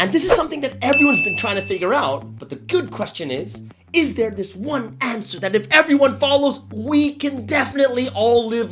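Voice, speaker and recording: Over noticeable background noise, a man speaks in an upbeat tone at a fairly quick pace. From Malaysia (currently living there). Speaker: motivational speaker / pastor. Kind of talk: motivational talk to camera. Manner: upbeat, conversational.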